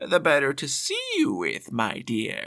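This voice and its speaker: The delivery comes in a put-on character voice and unfolds at a fairly slow pace. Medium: read story. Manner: falsely sweet, sly.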